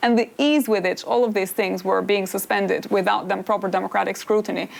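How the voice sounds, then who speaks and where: A woman with an Albanian accent talks at a fairly quick pace and very even loudness amid noticeable background noise. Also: medium pitch for a woman, ordinary pitch variation. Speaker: political philosopher and author. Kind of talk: interview on stage.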